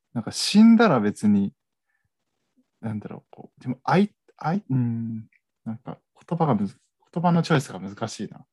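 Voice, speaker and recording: In a dry, close recording with no echo, a man of medium pitch speaks at a moderate pace with long, frequent pauses, very wide pitch swings and big swings in loudness. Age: 20s. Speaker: podcast co-host. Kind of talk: casual chat.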